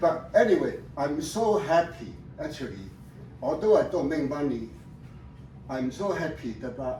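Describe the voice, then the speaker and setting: A man's fairly high voice at a moderate pace, lively in intonation, broken by long, frequent pauses, with noticeable background noise and audible room echo. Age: 70s. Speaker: retired professor presenting his research. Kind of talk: presentation to family audience. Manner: halting.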